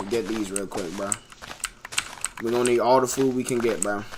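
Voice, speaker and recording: A man at a medium pitch with a relaxed tone and fairly even intonation, moderate pace, audible room echo and noticeable background noise. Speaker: gaming streamer. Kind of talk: live gameplay stream chat. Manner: casual, relaxed.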